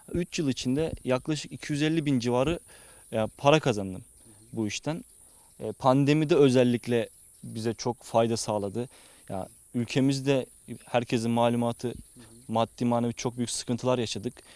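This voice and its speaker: A man at medium pitch, moderate pace with long, frequent pauses, ordinary pitch variation, and a dry, close sound with no echo over a quiet background. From Zonguldak, Turkey. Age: 20s. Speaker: young farmer. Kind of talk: interview. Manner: hesitant, many fillers.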